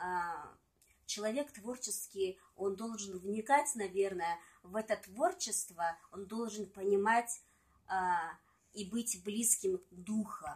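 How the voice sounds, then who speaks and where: The speech comes very slowly, with long, frequent pauses and ordinary pitch variation. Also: woman. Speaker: singer and poet. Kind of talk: casual interview chat with poem reading. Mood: calm, reflective. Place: home room. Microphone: phone near.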